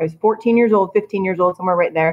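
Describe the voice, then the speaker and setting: A woman with an ordinary speaking voice and fairly even intonation. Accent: American. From Idaho. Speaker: guest. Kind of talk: casual interview.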